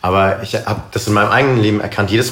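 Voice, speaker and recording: A man's fairly low voice at a very fast pace, with noticeable background noise and audible room echo. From Karlsruhe, southwestern Germany. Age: 20s. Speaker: missionary and worship leader. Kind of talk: casual interview. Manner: hesitant, many fillers.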